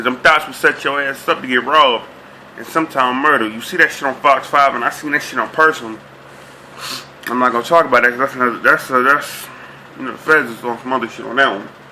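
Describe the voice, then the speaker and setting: Talking very fast with an American accent, a man keeps his intonation fairly even while his loudness swings greatly, amid noticeable background noise. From Boston, Dorchester. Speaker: vlogger. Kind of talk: casual monologue vlog.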